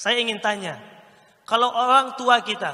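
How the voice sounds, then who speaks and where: Raising and projecting his voice, a man with an East Javanese accent speaks in an animated tone at an extremely high pitch and a moderate pace. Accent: Indonesian with Malang-style Javanese. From Pekanbaru, Riau (Sumatra); Riau, Indonesia. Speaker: Islamic preacher and public speaking coach; public speaking trainer, religious teacher. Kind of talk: training workshop lecture. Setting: live audience, indoor venue. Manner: animated, interactive with audience. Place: hall. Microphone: handheld.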